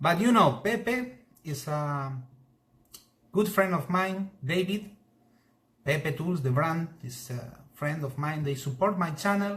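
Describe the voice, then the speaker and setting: Speaking very slowly with long, frequent pauses, a man with a Spanish accent uses a fairly high pitch and lively intonation. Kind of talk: live stream demonstration. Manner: halting.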